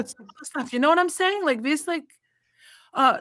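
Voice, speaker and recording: A woman with an Albanian accent speaks in a bright, sharp tone with lively intonation. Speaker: college volleyball coach. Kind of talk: interview.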